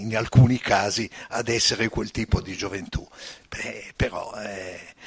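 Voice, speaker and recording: A man's fairly slow delivery comes with fairly even intonation. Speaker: audience member. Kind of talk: audience question. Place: hall.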